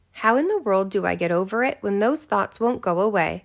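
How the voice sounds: Throughout the recording, a natural reading voice is heard.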